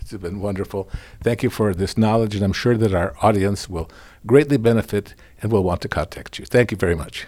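At a fairly quick pace, a man talks with a fairly low pitch in an unremarkable speaking voice. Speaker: podcast host and former pastor. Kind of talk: interview. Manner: laughs often.

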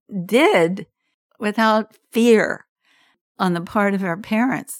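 The woman has a fairly high pitch and an American accent, speaking at a very slow pace. The sound is dry and close with no echo, in a very clean recording with a silent background. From US South, Virginia (Norfolk, Virginia Beach area). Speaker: interviewee sharing life story. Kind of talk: casual interview.

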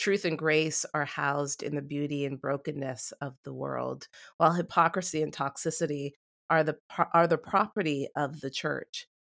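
Vocal fry runs through this moderate-paced, fairly even delivery, captured in a very clean, dry, close recording with a silent background and no echo. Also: woman, very deep, low pitch for a woman. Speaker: podcast host. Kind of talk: casual interview.

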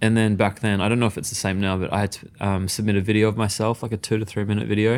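A man with an Australian accent at a very fast pace, fairly low-pitched and fairly even in intonation, on a very clean recording with a silent background. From Western Australia (Perth), Mauritian Chinese family. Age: young. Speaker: chef and cookbook author. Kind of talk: casual interview chat.

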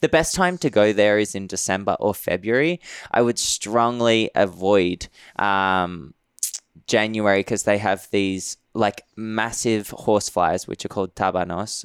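At a fairly slow pace and a fairly low pitch, a man with an Australian accent speaks with ordinary pitch variation in a dry, close sound with no echo on a very clean recording with a silent background. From Western Sydney, Australia. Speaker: travel writer. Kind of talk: casual interview.

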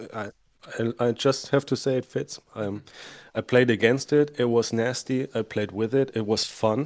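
In a German accent, a man with a medium pitch speaks at a moderate pace and fairly even intonation, the sound dry and close with no echo on a very clean recording with a silent background. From Germany. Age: 30s. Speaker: tabletop wargamer. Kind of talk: casual chat.

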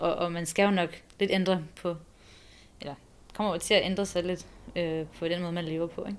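A woman with a fairly low voice speaks at a moderate pace in a flat monotone, leaving long, frequent pauses. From abroad, born in Copenhagen. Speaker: expectant mother. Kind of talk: interview.

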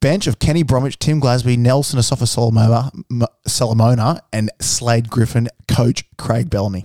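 A man's medium-pitched, dark, mellow voice in an Australian accent, at a moderate pace with ordinary pitch variation, very even loudness and a dry, close sound with no echo. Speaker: rugby league fan podcast co-host. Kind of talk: casual chat. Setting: studio.

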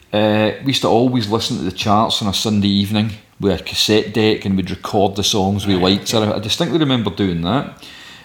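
Speaking in a West of Scotland accent, a man talks at a very fast pace with hardly any pauses. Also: fairly low pitch for a man, ordinary pitch variation. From Scotland, Ayrshire (Saltcoats). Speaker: record label founder. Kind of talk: interview.

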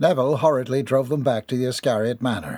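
Mostly level intonation in plain reading aloud

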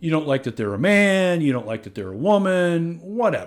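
Very wide pitch swings mark this man's fairly high voice. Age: 50s. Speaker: podcast host, real estate investor. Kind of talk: solo monologue podcast. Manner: casual, filler-heavy.

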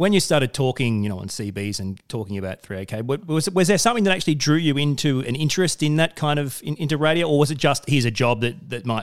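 A man with an Australian accent, fairly high pitch, very wide pitch swings, a very fast pace and hardly any pauses. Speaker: podcast host and radio presenter. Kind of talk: interview conversation.

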